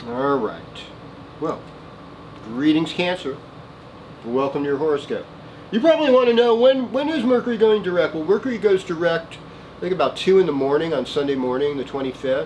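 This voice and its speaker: A man with a Valley accent talks fairly quickly at a high pitch, with very wide pitch swings. He leaves long, frequent pauses over noticeable background noise. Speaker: astrologer. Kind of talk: weekly horoscope monologue. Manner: casual, meandering with many fillers.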